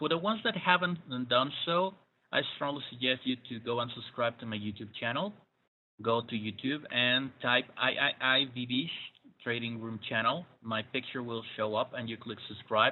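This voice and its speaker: A man with a Spanish accent at a moderate pace, medium in pitch, with ordinary pitch variation. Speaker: trading webinar presenter. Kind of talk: webinar. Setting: online webinar broadcast. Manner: hesitant, many fillers.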